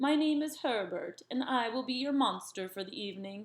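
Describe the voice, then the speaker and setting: A woman uses a put-on character voice, high and breathy. She keeps a moderate pace. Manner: polite, formal greeting.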